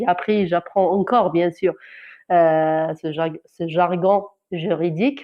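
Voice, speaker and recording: A woman's fairly slow delivery with fairly even intonation. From Algeria, Kabylie. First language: Kabyle (Amazigh) (speaking French). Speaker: journalist. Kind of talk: testimony. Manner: halting, many hesitations and repetitions.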